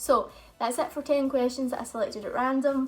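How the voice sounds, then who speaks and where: A woman with a Scottish accent speaks in a high voice over music in the background. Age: 20s. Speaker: YouTuber. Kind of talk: casual chat.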